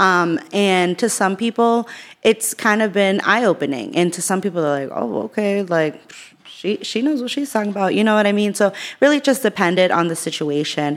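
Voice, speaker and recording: Using a normal speaking voice, a woman talks at a moderate pace with medium pitch and lively intonation. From Worcester, Massachusetts (born in El Salvador). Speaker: small business owner. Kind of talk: interview.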